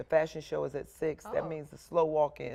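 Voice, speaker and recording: Speaking at a fairly quick pace, a woman with a very deep, low pitch and vocal fry has a dark, mellow tone that is also warm and upbeat. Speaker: TV news anchor and reporter. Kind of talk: friendly on-set interview with a guest. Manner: warm, upbeat.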